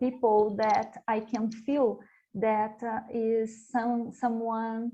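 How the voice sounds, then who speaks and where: Very slow and monotone with flat intonation, a woman with a Portuguese accent speaks at a fairly high pitch in a dark, mellow tone. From Brazil. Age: young. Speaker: panelist. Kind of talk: panel discussion. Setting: virtual conference. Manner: halting, hesitant.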